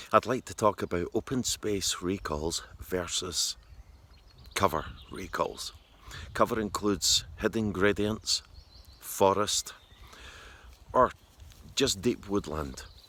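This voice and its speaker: A man with a Scottish accent at a very slow pace, with long, frequent pauses. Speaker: dog trainer. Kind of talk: tutorial. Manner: soft-spoken; halting.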